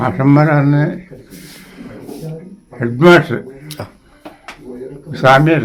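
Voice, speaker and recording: This man's voice is fairly high, with ordinary pitch variation. Noticeable background noise is present. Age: 80s+. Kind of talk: interview answer, oral history reminiscence.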